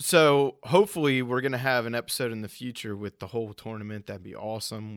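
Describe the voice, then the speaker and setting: A man with an American accent speaks in an ordinary speaking voice at a fairly quick pace, with ordinary pitch variation. The recording is very clean, with a silent background and a dry, close sound with no echo. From US Northeast, Rhode Island. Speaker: podcast host. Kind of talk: casual chat.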